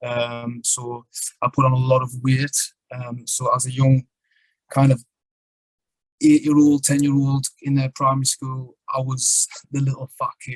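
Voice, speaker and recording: Monotone, flat delivery with a strong northeast English accent, a fairly slow pace, long, frequent pauses, and a somewhat breathy quality, dry and close with no echo. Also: man, medium pitch for a man. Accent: strong northern English (North East). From northern England (Sunderland, North East). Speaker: poet and traveller. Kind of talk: podcast interview, life story. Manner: casual, many fillers.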